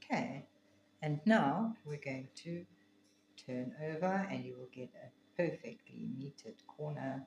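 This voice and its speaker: With an African accent and a very deep, low pitch, a woman speaks at a fairly slow pace with long, frequent pauses, lively intonation and big swings in loudness. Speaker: quilting teacher. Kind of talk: tutorial.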